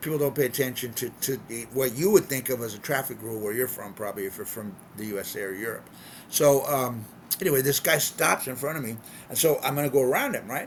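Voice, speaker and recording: The speaker has an American accent and talks at a very fast pace with ordinary pitch variation. Loudness swings widely, and background noise is noticeable. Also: man, medium pitch for a man. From California, US. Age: 60s. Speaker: expat vlogger. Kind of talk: casual vlog monologue. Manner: unscripted, repetitive with many fillers.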